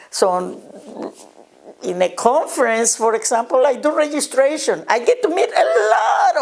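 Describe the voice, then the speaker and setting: A woman with a Spanish accent speaks high with very wide pitch swings. Background noise is noticeable. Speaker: educator and nonprofit director. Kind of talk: interview monologue.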